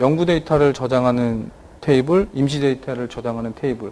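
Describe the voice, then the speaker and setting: A man talks at a fairly quick pace. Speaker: database software presenter. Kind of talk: technical conference talk. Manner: fast.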